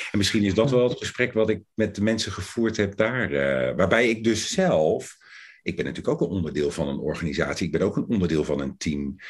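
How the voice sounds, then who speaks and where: At a fairly quick pace, a man speaks with a fairly low pitch and lively intonation. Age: 50s. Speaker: coaching lecturer. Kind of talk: interview. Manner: hesitant.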